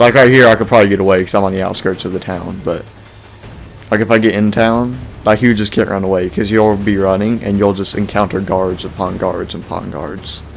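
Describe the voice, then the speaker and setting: A man with a fairly low pitch speaks at a fairly quick pace. His intonation is fairly even, with music in the background. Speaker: video game reviewer. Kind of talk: gameplay commentary. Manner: casual, rambling.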